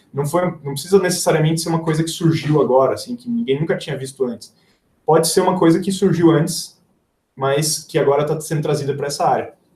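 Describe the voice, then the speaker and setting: This very fast voice, dark and mellow in tone, shifts with ordinary pitch variation. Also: man, fairly high pitch for a man. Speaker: engineer and software company founder giving a talk. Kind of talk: live webinar presentation. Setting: livestream with screen sharing.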